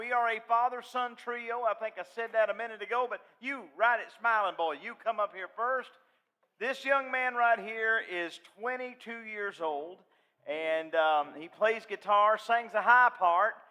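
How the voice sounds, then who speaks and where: Raised and projected, a man's extremely high-pitched voice has a bright, sharp tone and a Southern accent. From US South, western North Carolina. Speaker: gospel singer. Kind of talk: stage banter. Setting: stage with audience.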